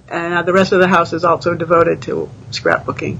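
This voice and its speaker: Noticeable background noise runs behind the voice. A woman talks at a moderate pace. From New England (New Hampshire). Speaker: retiree and beta reader. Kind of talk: casual interview. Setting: live video stream.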